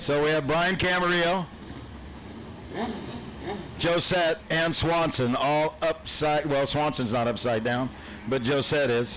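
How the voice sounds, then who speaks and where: A man with a fairly high pitch speaks at a fairly slow pace in an excited tone, with long, frequent pauses over noticeable background noise. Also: ordinary pitch variation, very even loudness. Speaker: track announcer. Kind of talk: live race commentary. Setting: racetrack PA system. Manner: excited, reeling off names and car numbers.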